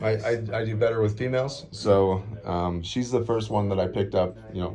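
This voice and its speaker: A man with a fairly low pitch talks at a fairly quick pace, his intonation fairly even. His tone is dark and mellow, and the room echo is audible. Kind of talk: confrontational encounter. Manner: loud.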